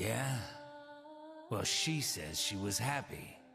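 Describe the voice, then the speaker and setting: A man's raspy, put-on character voice at a medium pitch and very slow pace, with clear background noise. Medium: game stream. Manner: gruff, sardonic.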